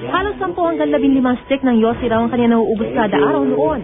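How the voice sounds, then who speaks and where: A woman's voice sits at a fairly high pitch. Music can be heard behind her. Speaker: TV news reporter. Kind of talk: TV news report narration.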